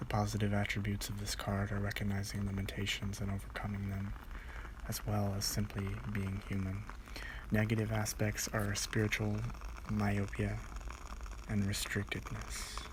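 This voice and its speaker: Noticeable background noise sits behind a man talking at a moderate pace with long, frequent pauses. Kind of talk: ASMR read-along of a book, relaxing sleep-aid reading. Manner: whispery, soft.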